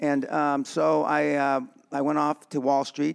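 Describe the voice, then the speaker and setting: Here a man speaks in a Californian accent. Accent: Californian American English. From East Los Angeles. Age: 70s. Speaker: businessman. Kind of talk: podcast interview. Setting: boxing gym. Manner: halting, many fillers.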